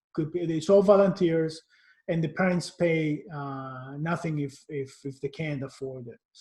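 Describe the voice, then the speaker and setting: A man with a Cypriot accent talks at a moderate pace, his fairly high pitch showing ordinary variation. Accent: Greek Cypriot. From Cyprus. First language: Greek. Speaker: marketing executive. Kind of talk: interview. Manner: halting.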